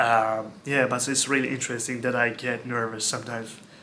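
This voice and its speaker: Speaking with a Turkish accent, a man has a bright, sharp tone at a medium pitch. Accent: Turkish-accented English, non-native. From Turkey. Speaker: former hotel worker. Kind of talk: casual talk to camera.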